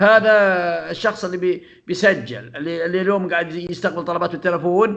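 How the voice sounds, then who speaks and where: A man's high, bright, sharp voice at a fairly quick pace, with ordinary pitch variation. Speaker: software trainer. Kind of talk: tutorial. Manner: halting.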